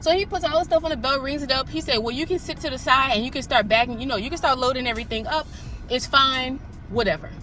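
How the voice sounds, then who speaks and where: A woman's raised, projected voice, high-pitched with ordinary pitch variation, at a very fast pace over noticeable background noise. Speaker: mom vlogger. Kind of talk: casual storytime vlog.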